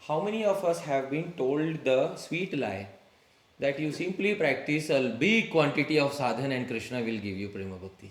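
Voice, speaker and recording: An Indian accent at a moderate pace, with very wide pitch swings and audible room echo. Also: man, fairly high pitch for a man. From India, Maharashtra. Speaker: spiritual teacher. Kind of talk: religious lecture to a live group. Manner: conversational, engaging audience with questions.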